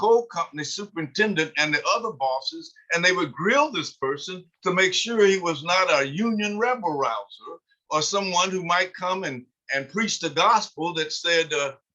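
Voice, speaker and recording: A man speaks in a raised, projected voice at a high pitch. His intonation is lively. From eastern Kentucky, Harlan County (Appalachia). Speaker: author and sociologist. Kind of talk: online history talk. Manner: halting, many filler sounds.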